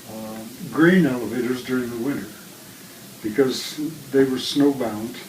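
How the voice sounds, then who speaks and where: In an American accent with lively intonation, the voice carries audible room echo over music in the background. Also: man. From US Midwest, Iowa. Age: 90s. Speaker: interviewee. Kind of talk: casual chat.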